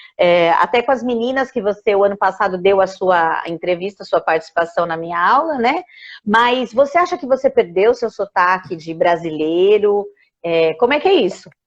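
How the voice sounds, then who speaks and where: With lively intonation and a medium pitch, a woman talks at a moderate pace in an ordinary speaking voice. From Brazil. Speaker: English teacher. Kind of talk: casual interview. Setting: Instagram live video call.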